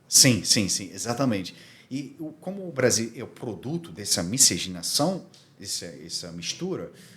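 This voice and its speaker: Loudness swings widely as a man speaks at a medium pitch with very wide pitch swings. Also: moderate pace. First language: Armenian (speaking Portuguese). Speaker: diplomatic community commissioner. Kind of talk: podcast interview. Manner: halting.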